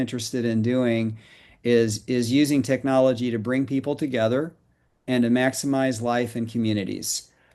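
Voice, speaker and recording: An ordinary speaking voice goes at a fairly quick pace with fairly even intonation against a quiet background. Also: man. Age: 60s. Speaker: financial educator promoting a mortgage reduction program. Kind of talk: podcast roundtable interview.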